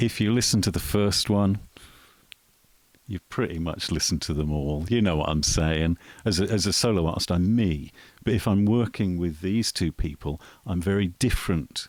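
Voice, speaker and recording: A man speaks with a very deep, low pitch and ordinary pitch variation at a moderate pace. The recording is very clean, with a silent background. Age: 50s. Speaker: musician. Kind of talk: casual interview chat. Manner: hesitant with fillers.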